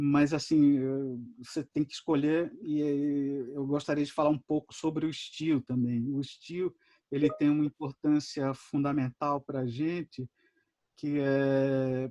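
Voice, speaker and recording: With a fairly high pitch and a dark, mellow tone, a man speaks at a fairly slow pace in monotone, flat intonation, the sound dry and close with no echo. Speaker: animator giving a masterclass. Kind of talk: lecture. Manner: halting, many fillers and repetitions.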